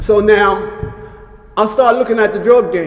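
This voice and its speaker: Over noticeable background noise, a man speaks at a moderate pace in a high pitch. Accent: American. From Harlem, New York. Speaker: fashion designer, former hustler. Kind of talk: interview answer.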